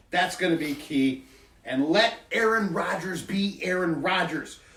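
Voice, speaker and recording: A fairly slow delivery against noticeable background noise. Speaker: football podcast co-host. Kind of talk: casual sports chat. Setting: studio.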